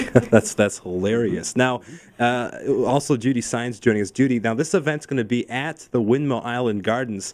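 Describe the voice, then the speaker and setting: An ordinary speaking voice from a man, medium in pitch, at a moderate pace with ordinary pitch variation. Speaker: radio show host. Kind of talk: radio interview host.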